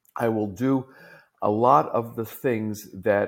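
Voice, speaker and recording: A man talks with a New York accent. The recording is very clean with a silent background. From US, New York. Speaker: tech executive, fractional CTO. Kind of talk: interview conversation.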